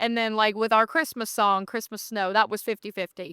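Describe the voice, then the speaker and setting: With an American accent, a woman speaks at medium pitch in a bright, sharp tone and fairly even intonation, the sound dry and close with no echo. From Virginia, Bluefield on the West Virginia line. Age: 20s. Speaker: country singer-songwriter. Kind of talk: interview conversation. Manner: casual, with many fillers.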